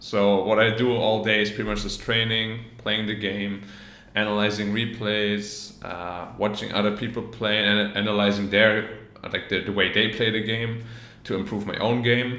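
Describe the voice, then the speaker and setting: A man talks in a flat, monotone way at a fairly low pitch. Room echo can be heard. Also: moderate pace. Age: 20s. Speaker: professional esports player. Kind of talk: interview answers, reading questions aloud. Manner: casual, with fillers.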